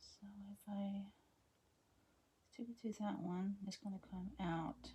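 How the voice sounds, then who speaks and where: A woman's medium-pitched voice has a dark, mellow tone, a somewhat breathy quality and fairly even intonation. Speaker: craft hobby vlogger. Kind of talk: casual craft-along chat. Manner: mumbling to herself at times; relaxed, hesitant with fillers.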